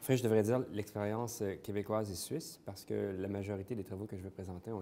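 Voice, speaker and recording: A man's dark, mellow, fairly low voice in a Quebec accent, fairly quick with fairly even intonation, in a very clean recording with a silent background. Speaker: interventional cardiologist. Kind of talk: conference talk. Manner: hesitant, many fillers.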